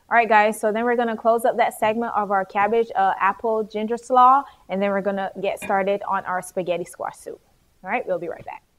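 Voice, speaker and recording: Speaking at a fairly quick pace, a woman with a slight Barbadian accent has a fairly high pitch and ordinary pitch variation. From Barbados. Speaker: cooking show host. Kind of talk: cooking demonstration. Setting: studio kitchen. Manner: casual, chatty.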